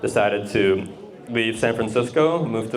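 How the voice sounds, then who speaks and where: A man's medium-pitched voice at a moderate pace, with ordinary pitch variation, noticeable background noise and audible room echo. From Russia. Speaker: real estate investor and accountant. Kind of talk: presentation to a group. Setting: garage talk with audience. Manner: casual, uses fillers.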